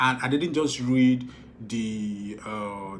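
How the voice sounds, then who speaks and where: A man speaks with a Nigerian accent. Audible room echo and noticeable background noise are present. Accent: Igbo-accented Nigerian English. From Nigeria, Igbo. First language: Igbo. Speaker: film director and producer. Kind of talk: casual advice talk to followers. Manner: repetitive, halting with fillers.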